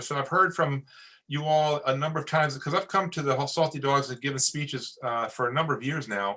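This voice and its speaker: A fairly high-pitched man with an American accent, bright, sharp tone and fairly quick pace against a quiet background. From New York. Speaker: Coast Guard officer. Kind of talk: webinar briefing. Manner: fast.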